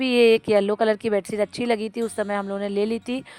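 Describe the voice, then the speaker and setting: A woman speaks at a moderate pace in a medium pitch, with music in the background. The sound is dry and close, with no echo. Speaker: vlogger; schoolteacher. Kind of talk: casual home vlog.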